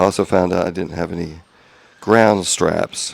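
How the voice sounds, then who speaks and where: A soft-spoken man with a very deep, low voice. His intonation stays flat and monotone. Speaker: hobbyist car restorer. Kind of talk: casual vlog update. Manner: halting.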